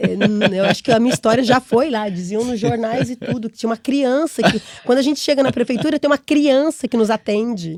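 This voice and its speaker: Delivered in a strong Brazilian accent with an animated tone, the speech moves at a fairly quick pace with hardly any pauses, big swings in loudness, ordinary pitch variation and a dry, close sound with no echo. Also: woman, fairly high pitch for a woman. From Brazil, interior of São Paulo state. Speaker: entrepreneur and immigrant. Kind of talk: podcast interview.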